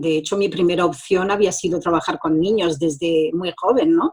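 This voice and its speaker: This woman has an unremarkable speaking voice with a fairly low pitch. She speaks at a moderate pace. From France, born in Granada. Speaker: social educator and mediator. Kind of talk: interview testimony. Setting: video call.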